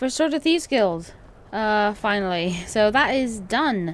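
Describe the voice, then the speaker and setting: The voice is quiet and moves at a fairly slow pace. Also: woman. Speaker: gaming video creator. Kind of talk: let's play commentary. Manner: quiet, subdued.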